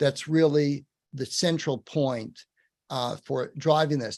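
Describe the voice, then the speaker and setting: Ordinary pitch variation in a man's fairly high voice. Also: dry, close sound with no echo. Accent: New York. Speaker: webinar host. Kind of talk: webinar Q&A. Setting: virtual program.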